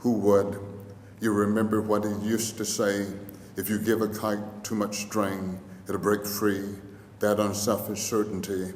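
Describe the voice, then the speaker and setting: A man talks at a fairly slow pace in a fairly low pitch, with noticeable background noise behind him. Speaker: poet. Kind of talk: poetry reading. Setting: lecture hall.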